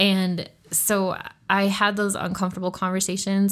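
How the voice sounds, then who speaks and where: On a very clean recording with a silent background, a woman with an American accent speaks at medium pitch. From southern Utah, US. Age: young. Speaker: marketing executive and entrepreneur. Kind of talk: interview conversation.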